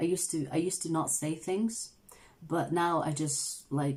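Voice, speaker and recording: Her voice very deep and low, a woman speaks with vocal fry. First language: not English. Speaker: tarot reader, channel host. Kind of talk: casual livestream chat, reading viewer comments. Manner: casual, filler-heavy.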